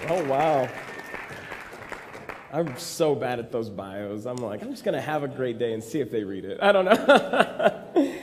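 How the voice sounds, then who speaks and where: A man with an American accent and a medium pitch talks at a fairly slow pace with long, frequent pauses. His pitch swings very widely, and crowd noise fills the background. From Texas. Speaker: actor and comedy writer. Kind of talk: conference talk. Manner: casual, humorous storytelling.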